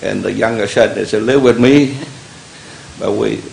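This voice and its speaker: A man is speaking here. Noticeable background noise and audible room echo come through the recording. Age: 70s. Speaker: member of the public, war veteran. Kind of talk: public comment at county meeting. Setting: public meeting hall. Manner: halting.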